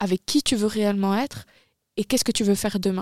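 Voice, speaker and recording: Here a woman speaks at a medium pitch with ordinary pitch variation. The recording is very clean and dry, with a silent background and no echo. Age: 20s. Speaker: podcast host. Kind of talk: casual chat.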